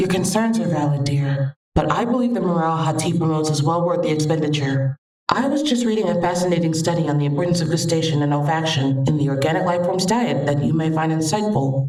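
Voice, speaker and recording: A woman uses a put-on character voice in a rumbling, fairly low pitch, talking at a very fast pace with hardly any pauses. Her loudness stays very even, and there is a slight echo. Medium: audio drama. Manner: gentle, earnest.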